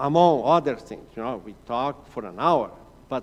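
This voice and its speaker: With a Portuguese accent, a man talks in a fairly high pitch and lively intonation. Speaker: mission director. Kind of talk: church presentation.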